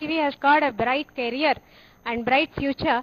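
Moderate speed and normal pitch movement in a woman's speech. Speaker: teacher participant. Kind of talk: formal feedback speech. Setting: video link from remote center.

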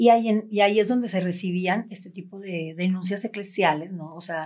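A woman at a moderate pace, ordinary pitch variation, quiet background. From Mexico, Cancún; Mexico. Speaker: abuse survivor; podcast guest or host. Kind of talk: testimony. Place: studio.

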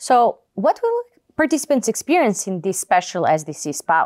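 Her pitch medium with big swings, a woman speaks at a moderate pace with a slightly mellow tone in a dry, close sound with no echo.

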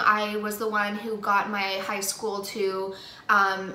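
A woman speaking at a very slow pace, with audible room echo. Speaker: beauty vlogger. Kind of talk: casual vlog chat. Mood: earnest, opinionated. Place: home room. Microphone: phone near.

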